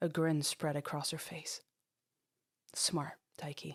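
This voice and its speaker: A gravelly, put-on character voice comes through on a very clean recording with a silent background. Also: woman. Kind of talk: dramatic audiobook narration. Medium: read story. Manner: gritty, profane.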